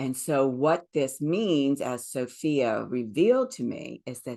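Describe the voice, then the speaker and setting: In a Southern US accent, a woman with a very deep, low voice speaks with lively intonation. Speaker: spiritual teacher. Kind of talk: spiritual talk.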